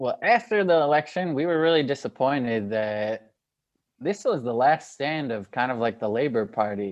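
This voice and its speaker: With an American accent, a man in an unremarkable speaking voice talks at a moderate pace, his pitch fairly high and his intonation lively. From United States. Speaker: podcast co-host. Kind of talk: casual chat.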